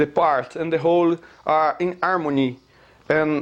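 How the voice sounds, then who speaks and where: A man with a Brazilian Portuguese accent, fairly high pitch, and fairly even intonation. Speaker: amateur physics theorist. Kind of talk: lecture. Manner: halting, many fillers.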